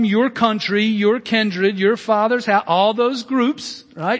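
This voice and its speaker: Speaking slowly for the most part, a man with a high pitch talks in an Alabama accent. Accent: Southern US (Alabama). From US South, Birmingham, Alabama. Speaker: pastor. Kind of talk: sermon. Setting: church. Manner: halting, many fillers.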